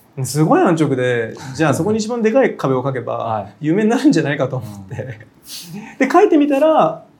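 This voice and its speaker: Fairly quick speech from a man with a fairly high pitch and very wide pitch swings, plus audible room echo. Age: 40s. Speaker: contemporary artist. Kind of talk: interview. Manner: frequent fillers and hesitations.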